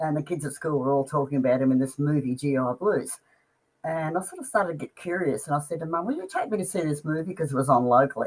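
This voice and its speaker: In an Australian accent, a woman talks at a very fast pace. Her pitch is very deep and low, with ordinary variation. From Australia, Melbourne. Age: 70s. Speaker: music fan. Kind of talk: interview.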